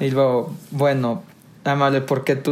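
A man talks in a normal speaking voice. His pitch is medium and his intonation fairly even. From Monterrey, northern Mexico. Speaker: podcast co-host, recycling business worker. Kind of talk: casual chat.

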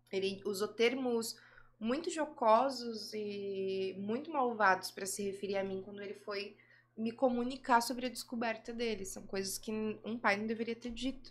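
In an unremarkable speaking voice, a woman talks at a moderate pace, fairly high in pitch with ordinary variation and big swings in loudness. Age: 20s. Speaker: adult film actress and director. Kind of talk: casual interview chat.

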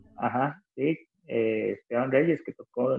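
A man speaks with a Costa Rican accent. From Costa Rica, Cartago. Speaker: rock musician. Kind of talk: casual interview chat. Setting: remote call from home.

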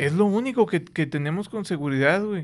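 At a moderate pace, a speaker with a Mexican accent uses lively intonation over a quiet background. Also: man. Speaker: podcast host. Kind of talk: casual chat. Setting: studio.

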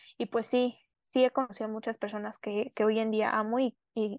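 The voice comes at a fairly slow pace with fairly even intonation, set against a quiet background in a dry, close sound with no echo. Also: woman. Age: 20s. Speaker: student, accident survivor. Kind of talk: interview testimony. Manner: halting, many fillers.

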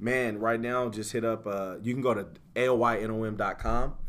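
There is audible room echo as a man speaks in a fairly low pitch. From US South, Greenville, Mississippi, partly raised in Sacramento. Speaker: rapper. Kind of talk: casual interview chat.

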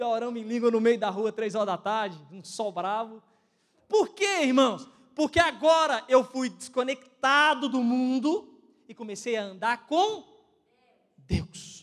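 A man with a Brazilian accent speaks fairly slowly at an extremely high pitch, with an animated tone, lively intonation, and big swings in loudness. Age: 20s. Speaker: pastor. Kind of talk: sermon. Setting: church.

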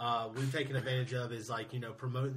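A man with a South Carolina accent at medium pitch and a fairly quick pace, monotone and flat in intonation, with audible room echo and noticeable background noise. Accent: Southern American (South Carolina). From Greenville, South Carolina. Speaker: supporters group match day coordinator. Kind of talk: casual interview.

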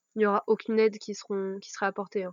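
Over a quiet background, a woman speaks with monotone, flat intonation in a dry, close sound with no echo. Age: 20s. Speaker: medical student. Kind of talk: interview. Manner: halting.

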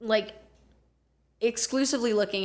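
Ordinary pitch variation from a female speaker with an American accent. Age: 20s. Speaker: podcast guest. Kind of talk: casual chat. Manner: animated.

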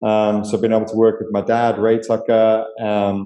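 A man with a British accent, medium pitch and a moderate pace. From UK. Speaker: ministry leader. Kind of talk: interview.

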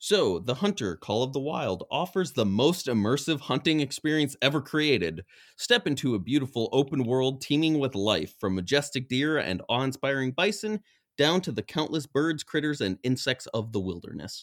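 Vocal fry and very wide pitch swings mark this voice with an American accent. The pace is moderate, and the recording is very clean with a silent background. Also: man, fairly high pitch for a man, dry, close sound with no echo. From West Virginia. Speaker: podcast co-host. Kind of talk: casual chat. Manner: animated, joking.

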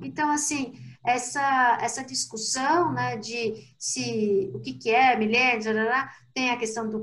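A woman's voice sits high in pitch. She talks at a fairly slow pace. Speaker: consumer behavior researcher. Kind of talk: casual chat.

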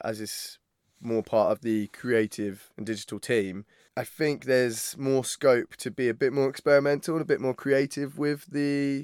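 Speaking with a southern English accent, a man keeps a fairly slow pace and ordinary pitch variation. The very clean recording has a silent background and a dry, close sound with no echo. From Isle of Wight, southern England. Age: 30s. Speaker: university video content creator. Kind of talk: casual interview.

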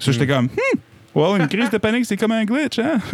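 A man talks at a very fast pace with very wide pitch swings, noticeable background noise behind him. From New Brunswick, Acadian (Petit-Rocher). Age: 20s. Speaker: singer-songwriter. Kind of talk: casual interview chat. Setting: basement studio.

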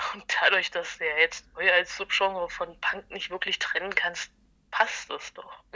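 At a fairly slow pace, a woman speaks at medium pitch in a flat monotone, with big swings in loudness. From Halle, Saxony-Anhalt, eastern Germany. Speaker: punk bassist and concert organizer. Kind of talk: casual interview.

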